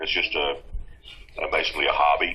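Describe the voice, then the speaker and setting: The man's American accent comes through at a fairly quick pace, with noticeable background noise around him. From Texas. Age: 60s. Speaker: UFO field investigator. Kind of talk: interview. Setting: video call. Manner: halting, many fillers.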